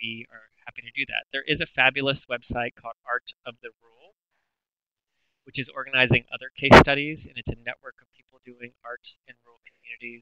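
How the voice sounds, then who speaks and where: A man with an American accent mumbles at a fairly quick pace. His intonation is monotone and flat, while his loudness swings widely. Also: medium pitch for a man. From US South. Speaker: arts agency program director. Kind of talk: webinar Q&A. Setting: webinar, online presentation. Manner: mumbling. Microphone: voice cutting in and out.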